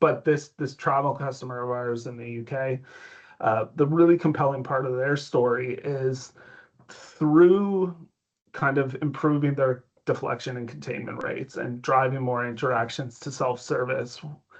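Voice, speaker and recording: This is a man with a normal speaking voice and a Canadian accent, at medium pitch and a moderate pace. His intonation is fairly even, while his loudness swings widely. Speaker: tech company executive. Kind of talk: interview.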